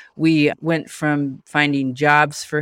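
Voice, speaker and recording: A woman speaks in an American accent with monotone, flat intonation. The sound is dry and close with no echo, on a very clean recording with a silent background. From Nebraska. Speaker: health coaching entrepreneur. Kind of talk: interview.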